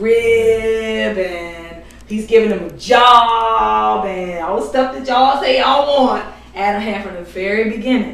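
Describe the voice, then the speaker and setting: Over noticeable background noise and audible room echo, the speaker talks at a fairly slow pace with big swings in loudness and ordinary pitch variation. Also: woman. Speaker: bible study teacher. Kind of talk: bible study class. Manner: conversational.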